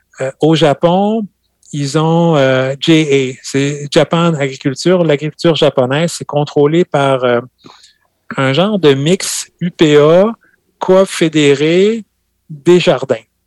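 A man's fairly high voice at a very slow pace, with long, frequent pauses, ordinary pitch variation and a dry, close sound with no echo. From France, Normandy (Calvados). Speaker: farmer. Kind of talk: casual interview.

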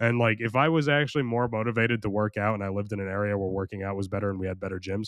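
With an American accent, a man talks at a very fast pace, his fairly low voice showing ordinary pitch variation. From United States. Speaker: podcast host. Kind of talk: casual storytelling monologue. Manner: rambling, casual.

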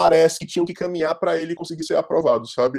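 A man with a fairly high pitch and a dark, mellow tone. The sound is dry and close, with no echo. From Ceará, Fortaleza (Brazilian Northeast). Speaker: graphic designer. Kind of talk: casual chat.

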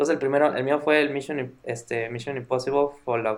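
A man speaks at a moderate pace in a Mexican accent, his medium-pitched voice flat and monotone. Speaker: podcast co-host. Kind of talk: casual chat.

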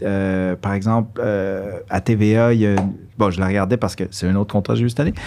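This man has an unremarkable speaking voice, fairly low in pitch. He talks at a fairly quick pace with fairly even intonation. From Quebec (Montreal), born in Guatemala. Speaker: actor and musician. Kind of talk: casual interview. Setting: studio.

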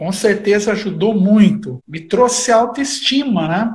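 This is a man speaking with a high pitch. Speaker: bass player and historian. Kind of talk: casual chat. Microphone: poor sound quality.

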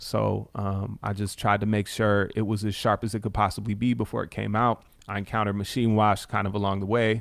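A man with an American accent talks at a fairly quick pace in a fairly low pitch, his intonation monotone and flat. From Chicago suburbs, US Midwest. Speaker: rapper. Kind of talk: casual interview. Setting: radio studio.

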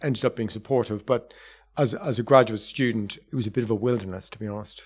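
A man talks at a very fast pace with an Irish accent. His intonation stays fairly even. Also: very clean recording, silent background. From Ireland. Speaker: professor of political thought. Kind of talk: interview.

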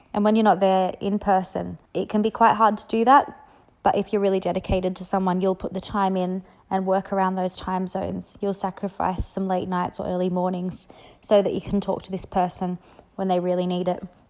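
In a very clean recording with a silent background, a woman speaks fairly quickly in an Australian accent, at a medium pitch, in a monotone, flat intonation. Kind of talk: voice message advice. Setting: voice message recording.

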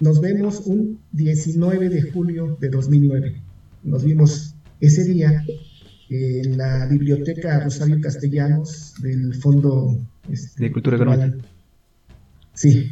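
In a somewhat breathy voice, a man with a fairly high pitch speaks at a very slow pace, with long, frequent pauses and ordinary pitch variation. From Mexico City. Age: 40s. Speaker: rock music documentarian. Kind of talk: interview.

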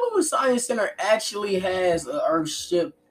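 A man speaks. His intonation is lively. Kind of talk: casual podcast chat.

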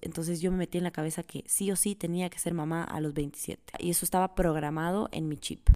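A woman's fairly low, dark, mellow voice in a monotone, flat intonation with hardly any pauses. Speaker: podcast host. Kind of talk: personal monologue.

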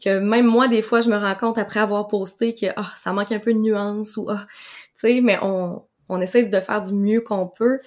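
Moderate pace and monotone, flat intonation from a woman with fairly high pitch. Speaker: nutritionist. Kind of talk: interview conversation. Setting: video call.

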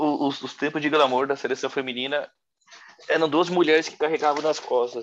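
This man has an ordinary speaking voice, pitched fairly high, talking at a fairly quick pace with fairly even intonation. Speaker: football podcast co-host. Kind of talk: casual chat.

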